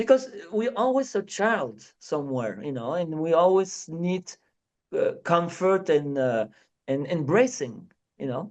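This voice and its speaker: Speaking at a fairly slow pace, a man with a high pitch lets his voice make very wide pitch swings. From France. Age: 50s. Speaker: clown. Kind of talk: interview. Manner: animated.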